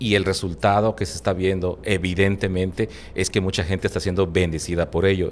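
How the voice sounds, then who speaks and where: Very deep, low male voice with vocal fry, ordinary pitch variation and a moderate pace. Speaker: Bible teacher. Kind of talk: interview, preaching style. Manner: fluent, talkative.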